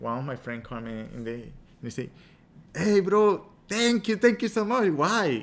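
Speaking with a Spanish accent, a man uses a high pitch, very wide pitch swings and big swings in loudness at a moderate pace, with long, frequent pauses. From Venezuela. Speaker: meditation and yoga teacher. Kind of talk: casual interview.

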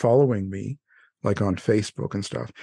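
A man speaks at a fairly quick pace in an unremarkable speaking voice with ordinary pitch variation, the sound dry and close with no echo and the background quiet. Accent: Canadian. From Canada. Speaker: radio host and true crime author. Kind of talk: casual interview. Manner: laughs often.

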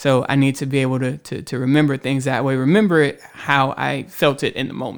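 A normal speaking voice from a man, medium-pitched and fairly quick, with fairly even intonation. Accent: American. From Houston, Texas. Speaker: writer. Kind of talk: casual chat. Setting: studio.

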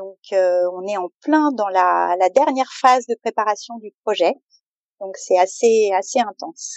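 The pace of this woman's speech is very slow. Loudness rises and falls in big swings. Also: medium pitch for a woman, ordinary pitch variation. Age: 50s. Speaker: mother preparing family sailing voyage. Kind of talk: interview testimony. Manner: hesitant.

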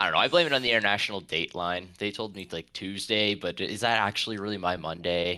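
A man's very fast, nearly pause-free delivery, bright and sharp in tone, with ordinary pitch variation. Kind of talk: casual chat. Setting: remote call across time zones.

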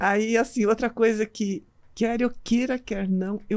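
A woman's fairly high voice, an unremarkable speaking voice, at a fairly slow pace with fairly even intonation, on a very clean recording with a silent background. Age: 60s. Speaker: pediatrician and medical school lecturer, marathon runner. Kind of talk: casual interview chat.

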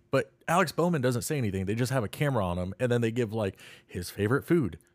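Very wide pitch swings mark a man's medium-pitched speech. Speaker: podcast co-host. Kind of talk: casual chat.

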